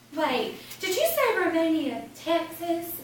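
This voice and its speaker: Using a put-on character voice, a woman speaks at an extremely high pitch and a fairly slow pace. There is a slight echo. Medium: stage play.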